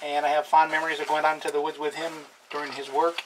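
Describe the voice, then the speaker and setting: A man with a fairly high voice and an American accent, over noticeable background noise. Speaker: DIY channel host. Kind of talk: cooking tutorial. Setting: home kitchen.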